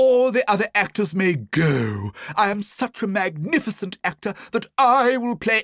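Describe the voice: Here the speaker is doing plain reading aloud.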